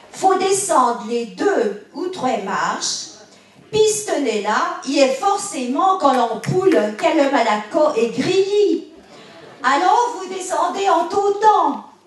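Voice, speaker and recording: Against noticeable background noise, a woman with a Bresse accent speaks at a very slow pace with very wide pitch swings. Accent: rural Bresse patois. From Bresse, eastern France. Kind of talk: humorous storytelling.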